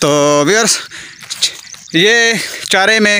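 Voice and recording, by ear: A man speaks with a bright, sharp tone.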